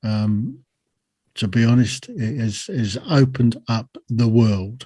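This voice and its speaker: A man with a strong British accent speaks fairly slowly at a medium pitch. His tone is dark and mellow, with fairly even intonation. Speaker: army veteran and podcaster. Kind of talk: podcast interview. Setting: remote call from home.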